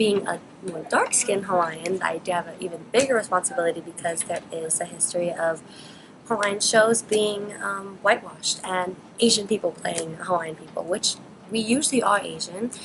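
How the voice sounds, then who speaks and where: Over noticeable background noise, a woman at medium pitch speaks at a moderate pace with ordinary pitch variation. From Hawaii. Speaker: acting student. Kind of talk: interview.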